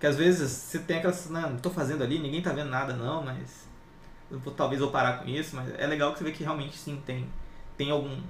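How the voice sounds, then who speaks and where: Amid noticeable background noise and audible room echo, a man talks very fast at a fairly high pitch with fairly even intonation. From inland São Paulo state, Brazil. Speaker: tech YouTuber and interview host. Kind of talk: casual interview chat.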